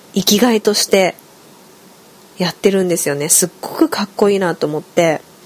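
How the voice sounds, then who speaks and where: At a fairly quick pace broken by long, frequent pauses, a woman speaks at a medium pitch with ordinary pitch variation over noticeable background noise. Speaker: podcast host. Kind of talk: solo casual talk.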